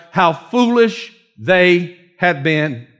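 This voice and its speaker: Very wide pitch swings mark the speech of a man with a Georgia accent. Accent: Southern, Dawsonville Georgia. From US South, North Georgia (Dawsonville). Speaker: pastor. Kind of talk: sermon. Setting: church with congregation. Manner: animated.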